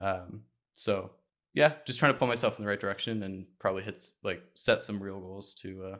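A man with a plain, everyday voice and fairly low pitch speaks at a moderate pace, his loudness swinging widely. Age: 20s. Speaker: web design studio owner. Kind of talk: casual chat.

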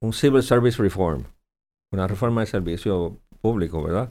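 Medium in pitch with ordinary variation, a man's voice sits in a very clean recording over a silent background. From Puerto Rico. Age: 60s. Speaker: senator. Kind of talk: political interview.

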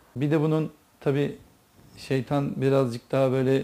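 A man talks in a fairly high pitch with a dark, mellow tone. His pace is fairly slow. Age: 40s. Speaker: religious talk speaker. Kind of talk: religious talk to listeners.

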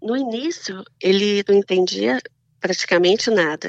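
A woman with a Minas Gerais accent speaks with lively intonation. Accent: Mineiro Brazilian Portuguese. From Minas Gerais, Brazil. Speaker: Brazilian immigrant wife of an American. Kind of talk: casual interview chat.

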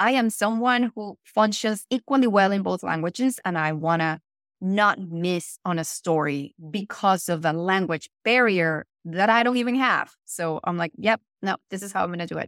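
On a very clean recording with a silent background and a dry, close sound with no echo, a woman with a Spanish accent speaks at a medium pitch and moderate pace with ordinary pitch variation. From Venezuela. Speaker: actor and voiceover artist. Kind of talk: casual interview.

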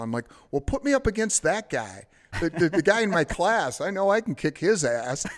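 The recording is very clean, its background silent. A man with an ordinary speaking voice talks fairly quickly, his intonation lively. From Detroit. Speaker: ring announcer. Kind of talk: casual chat. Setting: studio.

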